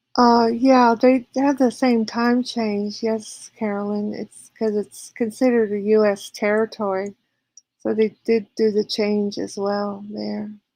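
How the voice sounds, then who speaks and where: A woman with a slight Southern US accent has a fairly high pitch. She speaks at a fairly slow pace. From California. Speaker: live streamer. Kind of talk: casual chat reading viewer comments. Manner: hesitant with frequent fillers.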